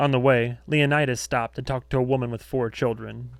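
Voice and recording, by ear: Fairly even intonation marks this natural-voiced reading aloud.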